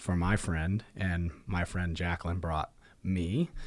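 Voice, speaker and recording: With a Midwestern American accent, a man talks in fairly even intonation on a very clean recording with a silent background. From Indiana, Marion. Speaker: gym owner and podcast co-host. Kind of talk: casual chat.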